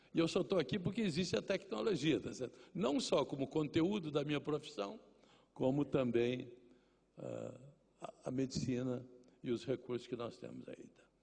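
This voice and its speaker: A man at medium pitch speaks at a moderate pace with lively intonation. Vocal fry runs through his voice. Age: 80s+. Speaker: journalist. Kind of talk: lecture.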